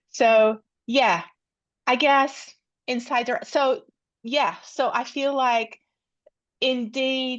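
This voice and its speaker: A woman with a Polish accent at a very slow pace, against a quiet background. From Poland. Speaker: researcher. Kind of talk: academic seminar Q&A. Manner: halting.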